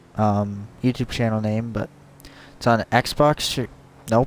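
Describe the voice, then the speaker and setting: The pace is very slow. Long, frequent pauses break up the speech. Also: man. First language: not English. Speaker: gaming youtuber. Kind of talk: casual vlog promo. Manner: halting, many fillers.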